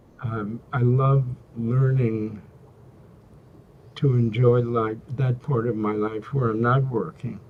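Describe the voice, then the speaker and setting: A man speaks very slowly at a medium pitch, with long, frequent pauses. His intonation is monotone and flat. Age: 80s+. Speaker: executive coach and former university president. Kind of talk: interview. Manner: halting.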